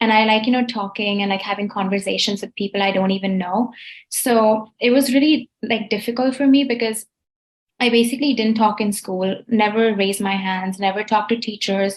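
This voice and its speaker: A woman talks at a fairly quick pace, her pitch fairly high. Her voice is somewhat breathy, with fairly even intonation. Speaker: college student. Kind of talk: casual chat. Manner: chatty, many fillers.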